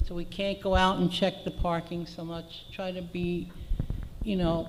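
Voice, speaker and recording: Soft-spoken and fairly slow, the voice comes through over noticeable background noise. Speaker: condo association board member. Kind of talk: board meeting remarks.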